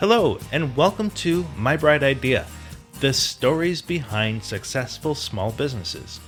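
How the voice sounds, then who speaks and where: Music plays in the background as a man speaks at a fairly slow pace, his pitch swinging very widely. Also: fairly high pitch for a man. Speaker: podcast host. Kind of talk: podcast interview host.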